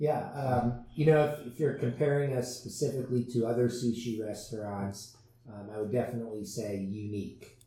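A man's somewhat breathy voice with an American accent, a dark, mellow tone, medium pitch, fairly even intonation and a moderate pace. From US West Coast, San Diego. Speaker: restaurant owner. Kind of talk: interview.

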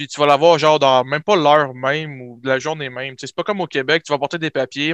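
A man with a plain, everyday voice talks at a fairly quick pace, fairly high in pitch and with fairly even intonation. The sound is dry and close with no echo, over a quiet background. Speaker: nursing student. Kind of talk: casual chat.

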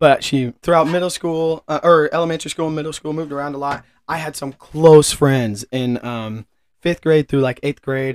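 The speaker has a Midwestern American accent and talks at a moderate pace. The intonation stays fairly even. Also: man, fairly high pitch for a man. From Kansas City area, US Midwest. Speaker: podcast co-host, business manager. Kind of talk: casual chat.

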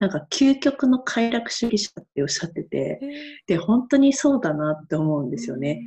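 Somewhat breathy and dark, mellow in tone, a woman's voice moves through very wide pitch swings. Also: medium pitch for a woman, moderate pace. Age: 50s. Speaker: camp manager, freelancer. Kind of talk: interview.

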